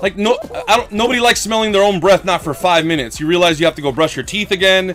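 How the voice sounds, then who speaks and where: An animated male voice over noticeable background noise. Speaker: gaming livestreamer. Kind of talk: casual livestream chat. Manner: slurred speech.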